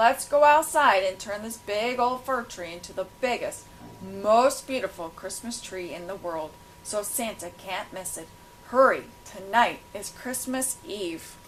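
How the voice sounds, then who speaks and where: Booming in a put-on character voice, a woman speaks at a fairly slow pace with a medium pitch, lively intonation and big swings in loudness. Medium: read story. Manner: booming, hearty.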